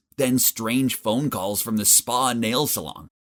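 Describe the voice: This is plain reading aloud. Its intonation holds fairly even.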